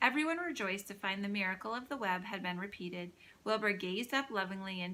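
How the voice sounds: The reader uses a natural reading voice throughout.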